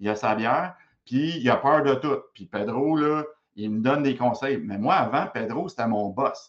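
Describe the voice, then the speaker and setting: A man's medium-pitched voice, animated in tone, with lively intonation. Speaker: professor and public speaker. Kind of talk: interview.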